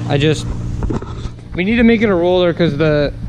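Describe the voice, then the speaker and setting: Audible room echo and noticeable background noise are heard. Through them, a man speaks at a fairly quick pace. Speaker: car enthusiast vlogger. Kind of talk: casual vlog in garage. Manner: casual, profane. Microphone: poor mic.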